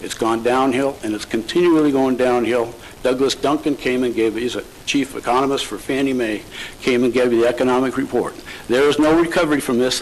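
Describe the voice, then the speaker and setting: Noticeable background noise behind a man at medium pitch, fairly quick pace and fairly even intonation. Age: 60s. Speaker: real estate broker, public commenter. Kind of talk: public comment at county board meeting. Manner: halting, many fillers and restarts; emotional, impassioned.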